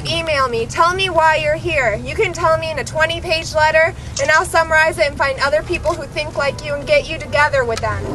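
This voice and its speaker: Over noticeable background noise, a woman speaks at a high pitch in a raised, projected voice, moving at a fairly quick pace with ordinary pitch variation. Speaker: protest organizer. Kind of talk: public meeting facilitation. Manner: loud.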